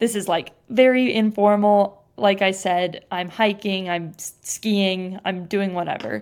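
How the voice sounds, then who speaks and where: With a West Coast accent and fairly even intonation, a woman talks with hardly any pauses in a very clean recording with a silent background. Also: medium pitch for a woman. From US Pacific Northwest (Bend, Oregon). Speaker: podcast host. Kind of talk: casual chat.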